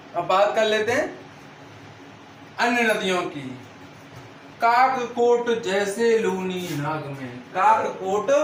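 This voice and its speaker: With audible room echo and noticeable background noise, a man speaks in an animated, high-pitched voice with lively intonation and long, frequent pauses. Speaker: online exam-prep teacher. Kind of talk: lecture. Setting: video class at a whiteboard. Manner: animated, call-and-response questioning.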